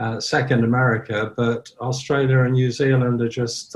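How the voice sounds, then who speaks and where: A man speaks at medium pitch and a moderate pace. His voice is somewhat breathy, with monotone, flat intonation. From Ireland. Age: 70s. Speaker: sober community founder. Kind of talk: casual interview.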